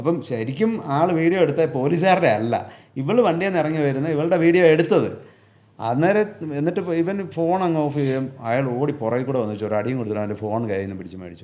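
A man speaks in a fairly high pitch with a dark, mellow tone and very wide pitch swings. Audible room echo surrounds his voice. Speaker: truck driver. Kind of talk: casual chat.

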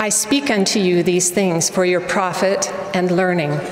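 A woman at a very slow pace, with audible room echo and light background noise. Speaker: speaker. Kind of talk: sermon. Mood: earnest, reverent. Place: hall. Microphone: podium.

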